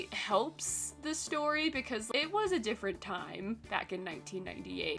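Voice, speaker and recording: Background music plays. A woman's voice is heard over it. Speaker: webtoon reviewer. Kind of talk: casual talk to camera. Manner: casual, rambling.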